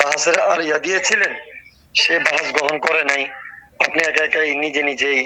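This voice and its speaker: A man with a fairly high pitch keeps fairly even intonation and very even loudness. There is noticeable background noise. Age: 30s. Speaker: caller. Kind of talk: phone call.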